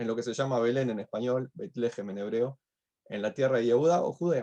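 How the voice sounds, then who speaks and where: A man with a Uruguayan accent and a dark, mellow tone. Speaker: rabbi teaching a class. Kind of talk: online lecture.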